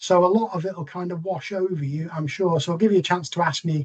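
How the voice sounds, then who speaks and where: The speaker has a West Country accent. The sound is dry and close, with no echo. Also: man. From England, Bristol. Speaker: NHS procurement executive. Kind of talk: online presentation. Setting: video call. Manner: fast.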